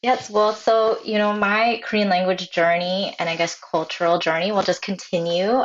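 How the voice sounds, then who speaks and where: In a normal speaking voice with an American accent, the speaker keeps a moderate pace with hardly any pauses, fairly even intonation and very even loudness. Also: woman, medium pitch for a woman. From New Jersey, US. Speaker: illustrator, mother. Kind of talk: interview.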